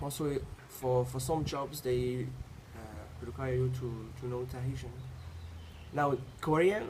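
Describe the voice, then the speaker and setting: Speaking at a fairly slow pace with long, frequent pauses, a man uses a medium pitch and ordinary pitch variation, and the room echo is audible. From Tahiti. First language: French. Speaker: university student. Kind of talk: interview. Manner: halting, frequent repetitions.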